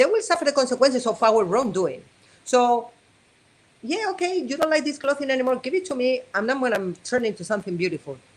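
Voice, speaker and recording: A woman's high-pitched, animated voice at a fairly quick pace with very wide pitch swings. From Spain, Madrid. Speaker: abstract artist. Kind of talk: interview.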